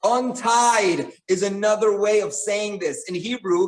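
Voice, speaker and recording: A man's high-pitched voice with an American accent at a very slow pace. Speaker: rabbi. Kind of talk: Torah class with cooking demonstration.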